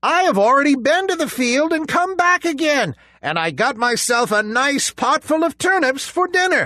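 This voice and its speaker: A man speaks in a put-on character voice, pitched extremely high. He barely pauses at all. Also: moderate pace. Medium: read story.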